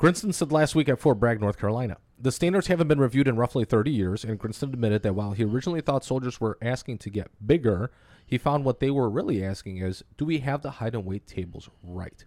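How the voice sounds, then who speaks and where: A man talks very fast at medium pitch, his intonation lively and his tone playful. The sound is dry and close with no echo, on a very clean recording with a silent background. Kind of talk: casual banter, crude comedy chat. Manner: joking, playful.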